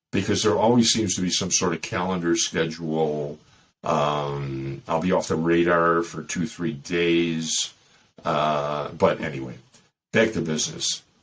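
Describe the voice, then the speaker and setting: With a Chicago accent, a man talks at a fairly slow pace in a very deep, low voice with ordinary pitch variation. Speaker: dating advice podcast host. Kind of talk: casual monologue. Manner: animated.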